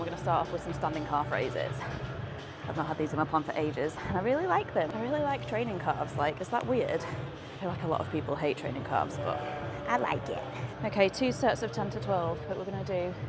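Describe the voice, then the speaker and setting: Over clear music in the background, a woman talks at a very fast pace. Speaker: fitness vlogger. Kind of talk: casual vlog chat. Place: gym. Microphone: lapel.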